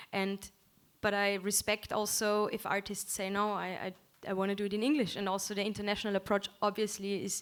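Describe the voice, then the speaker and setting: A woman's monotone voice with flat intonation at a fairly quick pace, in a very clean recording with a silent background. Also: medium pitch for a woman. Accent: German. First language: German. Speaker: musician. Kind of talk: panel discussion.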